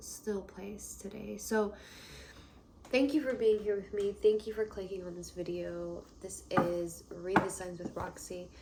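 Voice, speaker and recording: Soft-spoken, a woman talks fairly slowly at a medium pitch with fairly even intonation. Noticeable background noise runs behind her. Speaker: tarot reader. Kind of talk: tarot reading. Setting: indoors.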